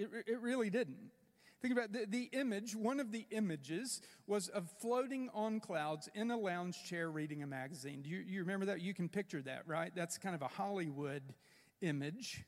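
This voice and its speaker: Speaking at a moderate pace, a man with a South Carolina accent uses a high pitch and lively intonation. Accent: Southern US (South Carolina). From upstate South Carolina. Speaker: pastor. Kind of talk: sermon.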